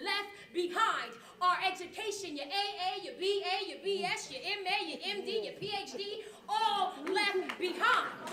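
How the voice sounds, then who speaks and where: Over noticeable background noise, a woman uses a raised, projected voice at an extremely high pitch, speaking at a fairly slow pace with ordinary pitch variation and big swings in loudness. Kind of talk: spoken word poetry performance. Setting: live performance before an audience. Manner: rhythmic, preaching.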